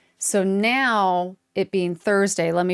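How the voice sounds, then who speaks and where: On a very clean recording with a silent background and a dry, close sound with no echo, a woman speaks in an animated tone at medium pitch. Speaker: knitting video host. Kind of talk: casual vlog chat. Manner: chatty, animated; loud.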